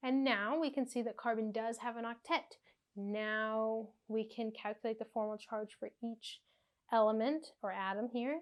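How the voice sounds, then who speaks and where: A woman with an ordinary speaking voice talks at a moderate pace, her pitch fairly high and her intonation fairly even. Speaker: chemistry tutor. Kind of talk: tutorial. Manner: casual.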